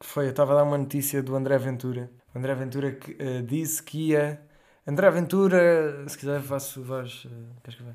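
A man with an unremarkable speaking voice, fairly high pitch, fairly even intonation, a moderate pace and big swings in loudness. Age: 20s. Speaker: podcast guest. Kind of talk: casual chat.

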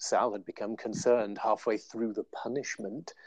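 The speaker has a British accent. The sound is dry and close with no echo, and the background is quiet. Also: man. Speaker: podcast co-host, indie author.

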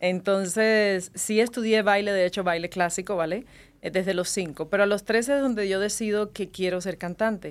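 A woman with a normal speaking voice talks at a moderate pace, her medium pitch carried by fairly even intonation. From Cuba. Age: 30s. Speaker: singer and TV presenter. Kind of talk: casual interview.

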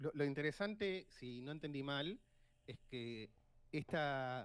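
A man speaks with an Argentine accent. His pitch varies in an ordinary way. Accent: Rioplatense Argentine Spanish. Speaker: financial advisor. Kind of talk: casual chat.

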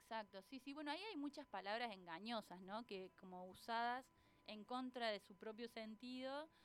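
This woman talks at a moderate pace in a fairly high voice with ordinary pitch variation. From Argentina, Córdoba city. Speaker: columnist, doctoral student in education. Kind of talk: radio interview. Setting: radio studio.

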